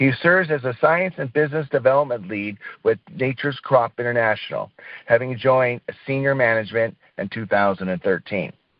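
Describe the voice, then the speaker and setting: Lively in intonation, a man talks at a fairly quick pace. His pitch sits in the medium range. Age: 60s. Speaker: radio show host. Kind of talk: casual interview chat; reading guest bio introduction. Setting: radio show. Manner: animated.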